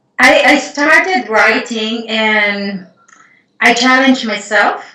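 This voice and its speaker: Amid audible room echo, a woman with a bright, sharp tone and fairly high pitch talks at a very slow pace with ordinary pitch variation. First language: not English. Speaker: Akashic Records healer and writer. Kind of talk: casual interview conversation.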